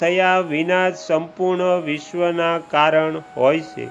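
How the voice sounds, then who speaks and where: A man talks with a high pitch and fairly even intonation. Music plays in the background. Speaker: religious scripture narrator. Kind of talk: scripture reading. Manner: calm.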